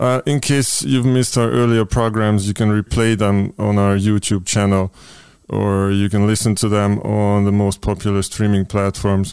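A man with a Hungarian accent speaks at a very even loudness, his pitch fairly low and his intonation fairly even. The recording is very clean, with a silent background. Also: moderate pace. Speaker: podcast host. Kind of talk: interview. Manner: halting.

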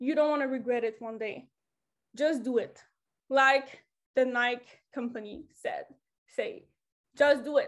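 Speaking fairly slowly in a French accent, a woman uses a high pitch with ordinary variation and takes long, frequent pauses. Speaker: motivational speaker. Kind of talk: motivational talk. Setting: online group call.

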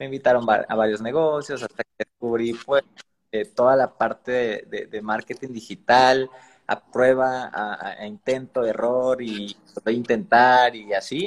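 A man speaks in an ordinary speaking voice at a medium pitch and a fairly slow pace, with fairly even intonation in a dry, close recording with no echo. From Mexico, Veracruz. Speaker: digital marketer. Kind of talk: interview on a live stream.

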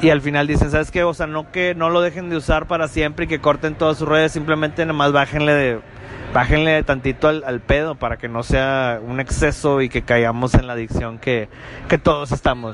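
Someone speaks at a fairly quick pace. Background noise is noticeable. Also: man, fairly high pitch for a man. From Monterrey, Mexico. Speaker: podcast host. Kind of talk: casual chat. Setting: apartment recording. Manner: animated.

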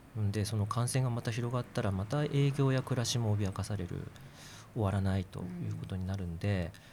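At a fairly quick pace, a man speaks in a fairly low, somewhat breathy voice with a dark, mellow tone and ordinary pitch variation. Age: 40s. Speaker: physician and political candidate. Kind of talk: casual discussion.

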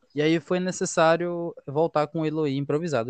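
Delivered at a fairly quick pace, a man's plain, everyday voice comes through with fairly even intonation and a dry, close sound with no echo. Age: 20s. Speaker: football podcast co-host. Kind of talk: casual football analysis chat.

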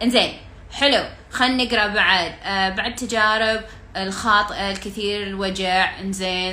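A woman speaks in an animated tone at a fairly slow pace, with audible room echo. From Kuwait. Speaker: life coach. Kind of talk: live-stream Q&A coaching chat. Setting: Instagram live video call.

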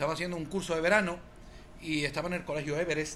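This man has a high pitch and a bright, sharp tone. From Spain. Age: 40s. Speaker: football coach. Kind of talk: casual chat.

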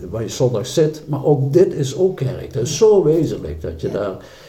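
A man talks with lively intonation. Audible room echo and noticeable background noise surround his voice. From South Limburg, Netherlands. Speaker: church member. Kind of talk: casual interview. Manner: halting.

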